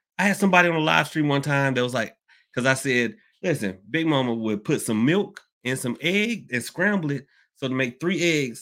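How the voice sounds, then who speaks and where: In a Southern US accent, the speaker sounds animated, with a bright, sharp tone, very wide pitch swings and a fairly quick pace. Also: man. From US South, Georgia. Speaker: livestream host on hoodoo. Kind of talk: casual livestream talk. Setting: live online stream. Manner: casual, animated, chatty, laughs often.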